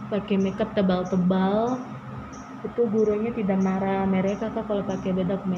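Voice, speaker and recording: Monotone, flat intonation at a moderate pace, with audible room echo and noticeable background noise. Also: woman, medium pitch for a woman. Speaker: beauty vlogger. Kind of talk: makeup tutorial. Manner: halting; casual.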